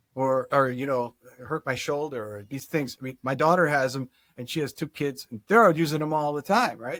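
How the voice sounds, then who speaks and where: A man talks at a fairly quick clip in a fairly high voice, his pitch rising and falling in the usual way, with a dry, close sound and no echo. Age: 60s. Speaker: chiropractic neurologist. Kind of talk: interview. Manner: halting, many restarts.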